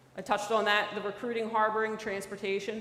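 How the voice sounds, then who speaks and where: In a Philadelphia accent, a woman with a fairly high pitch talks at a very fast pace in a monotone, flat intonation, with audible room echo. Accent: Philadelphia accent, lasting. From Philadelphia, US. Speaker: federal special agent. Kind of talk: talk to a church audience. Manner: casual, many fillers.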